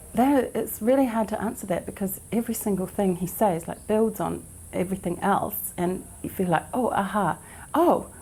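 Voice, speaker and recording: A fairly high, somewhat breathy female voice with lively intonation at a moderate pace. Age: 60s. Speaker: event attendee. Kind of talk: interview testimony. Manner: halting.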